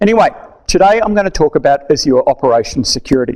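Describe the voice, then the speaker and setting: The background is quiet as a man speaks in an Australian accent. His pace is fairly quick. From Australia, Melbourne. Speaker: tech conference speaker; conference speaker. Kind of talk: technical talk. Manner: casual, conversational. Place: meeting room.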